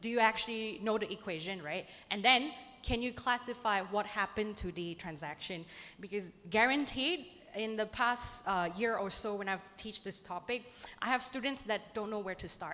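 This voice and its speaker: A woman with a non-native accent, fairly high-pitched, at a moderate pace with ordinary pitch variation. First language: not English. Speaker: lecturer. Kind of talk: conference presentation.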